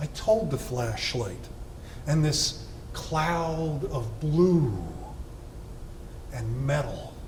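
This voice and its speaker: A man at a very slow pace, long, frequent pauses throughout, with noticeable background noise. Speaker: poet. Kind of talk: poetry reading.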